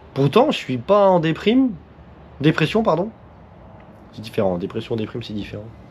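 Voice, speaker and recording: A man's voice with very wide pitch swings, big shifts in loudness and long, frequent pauses. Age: 20s. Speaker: motorcycle vlogger. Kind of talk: casual vlog monologue. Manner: fast; halting speech.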